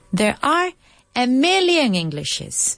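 This woman talks at a fairly slow pace with a Spanish accent. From Spain, Jaén (Andalusia). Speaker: radio host and English teacher. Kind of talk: educational talk show, mixing English and Spanish. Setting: studio, pre-recorded radio show.

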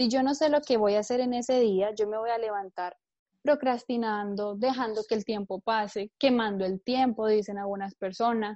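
A woman with a dark, mellow tone and a fairly high pitch speaks at a moderate pace with fairly even intonation, recorded dry and close with no echo against a quiet background. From Colombia. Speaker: entrepreneur. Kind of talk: interview.

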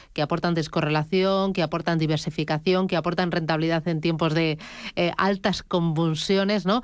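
A woman speaks in a monotone with flat intonation at a fairly low pitch, in a very clean recording with a silent background. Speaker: radio host. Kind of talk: interview. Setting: studio.

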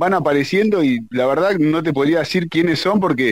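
A man with a plain, everyday voice at a moderate pace. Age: 40s. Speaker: tango singer. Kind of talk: interview.

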